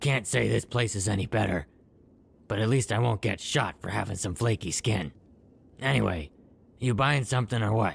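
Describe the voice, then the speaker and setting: This man puts on a character voice, raspy and fairly low in pitch. He talks at a moderate pace with long, frequent pauses. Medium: video game. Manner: wry, matter-of-fact.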